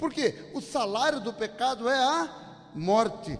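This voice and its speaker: Very wide pitch swings from a male speaker against noticeable background noise. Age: 60s. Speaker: pastor. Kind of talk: sermon.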